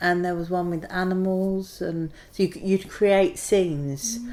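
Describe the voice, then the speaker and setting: A woman with a London accent speaks at a fairly slow pace, her intonation fairly even. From east London, Hackney and Ilford. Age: 40s. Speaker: oral history interviewee. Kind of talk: casual reminiscing interview.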